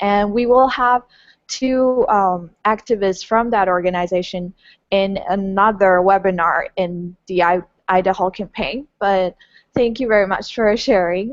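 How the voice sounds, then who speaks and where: With a Taiwanese accent, the speaker talks at a fairly slow pace with fairly even intonation. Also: woman. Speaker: webinar moderator. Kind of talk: interview moderation.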